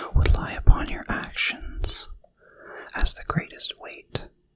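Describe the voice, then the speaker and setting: A man is talking. He whispers. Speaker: philosophy ASMR tutor. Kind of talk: ASMR philosophy tutoring with quoted passages. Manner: whispered, soft.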